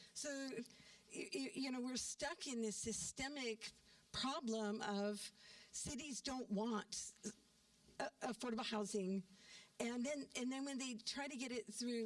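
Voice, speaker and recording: Over noticeable background noise, a woman with a fairly high pitch speaks at a fairly slow pace with long, frequent pauses and ordinary pitch variation. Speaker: community forum participant. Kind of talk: community forum discussion. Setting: church meeting hall with audience. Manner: loud.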